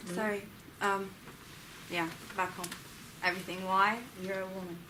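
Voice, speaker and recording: With audible room echo, a woman speaks at a medium pitch in a bright, sharp tone and a monotone, flat intonation. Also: moderate pace. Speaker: student. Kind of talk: seminar discussion.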